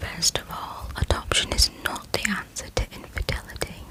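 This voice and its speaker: A woman is whispering over noticeable background noise. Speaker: ASMR creator. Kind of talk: asmr whisper ramble, casual talk to camera. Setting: bedroom, home microphone. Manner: whispered, soft-spoken.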